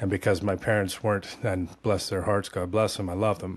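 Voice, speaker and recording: This speaker talks at a fairly quick pace. The accent is American. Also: man. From California. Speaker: former atheist sharing conversion story. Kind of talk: testimony. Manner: animated.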